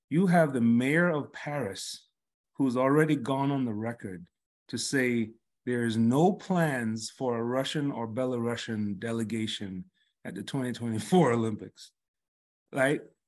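A man of medium pitch at a fairly slow pace, ordinary pitch variation, quiet background. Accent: American. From New York. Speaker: college track coach, podcast co-host. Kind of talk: casual chat.

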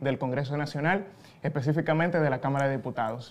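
A man with a Dominican accent and a fairly high pitch. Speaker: podcast host. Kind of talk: interview.

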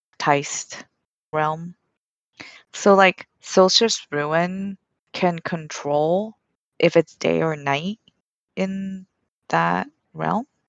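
Speaking at a very slow pace, a woman uses a very deep, low pitch with ordinary pitch variation. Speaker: podcast panelist. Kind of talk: casual book discussion podcast.

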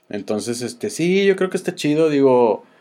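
A man with a Mexican accent has a dark, mellow tone, a fairly high pitch and lively intonation, heard in a very clean recording against a silent background. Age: 30s. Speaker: podcast host. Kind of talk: casual chat.

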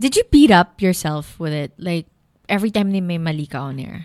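In a very clean recording with a silent background and a dry, close sound with no echo, the speaker goes at a moderate pace with a Filipino accent. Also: woman. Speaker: podcast host. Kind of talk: casual chat.

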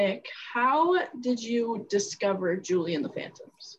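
A woman's very slow, somewhat breathy speech. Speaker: podcast co-host. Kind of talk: casual chat.

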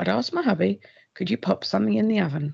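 A woman with an English accent is heard in a dry, close sound with no echo. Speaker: host's sister, story contributor. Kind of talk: reading aloud. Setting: pre-recorded voice note. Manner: storyteller-like, audiobook style.

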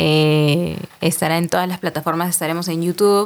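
The speaker is a woman with a fairly low pitch. Her intonation stays fairly even. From Peru, Lima. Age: 20s. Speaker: podcast host, marketing agency worker. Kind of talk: casual chat.

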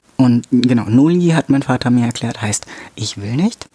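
A man's medium-pitched voice comes through with noticeable background noise behind it. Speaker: podcast host. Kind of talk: solo educational monologue. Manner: halting, many filler sounds.

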